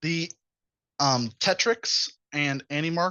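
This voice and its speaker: Here a man speaks at a fairly high pitch. His voice shows ordinary pitch variation. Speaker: robotics coach and workshop presenter. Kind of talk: lecture.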